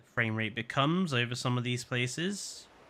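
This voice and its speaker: With a southern English accent, a medium-pitched man speaks at a moderate pace in a bright, sharp tone. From southern England. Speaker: gaming streamer. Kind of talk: live game stream commentary. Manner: casual, repeats words.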